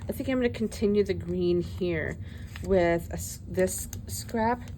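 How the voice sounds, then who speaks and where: A woman speaks with noticeable background noise. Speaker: craft video creator. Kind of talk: crafting tutorial. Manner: loud; animated.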